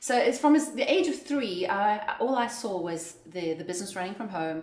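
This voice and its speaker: With a South African accent, a woman speaks at a moderate pace in a fairly high pitch that swings very widely, amid audible room echo and noticeable background noise. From South Africa, Johannesburg. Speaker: entrepreneur. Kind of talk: interview.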